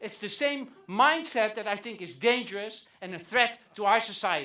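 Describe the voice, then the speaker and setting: In a Dutch accent, a man speaks in a raised, projected voice at a high pitch, with a bright, sharp tone, lively intonation, big swings in loudness, and a moderate pace. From Netherlands. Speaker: comedian. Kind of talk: stand-up.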